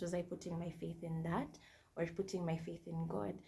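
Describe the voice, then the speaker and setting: A woman with a dark, mellow tone and vocal fry talks at a moderate pace, fairly low in pitch with fairly even intonation. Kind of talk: testimony.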